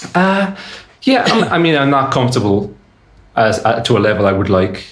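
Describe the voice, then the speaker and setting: Speech at a moderate pace shows very wide pitch swings and very even loudness, with audible room echo. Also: man, medium pitch for a man. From Ireland, Cork City. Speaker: electronic music artist. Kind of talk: casual interview.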